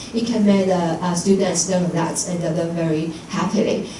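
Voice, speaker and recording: Someone with a Taiwanese accent talks at a moderate pace with ordinary pitch variation. Noticeable background noise and audible room echo surround the voice. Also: woman. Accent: Taiwanese Mandarin-accented English. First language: Mandarin Chinese. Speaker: English teacher. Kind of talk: conference presentation. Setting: lecture hall with audience. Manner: halting, frequent fillers and self-corrections.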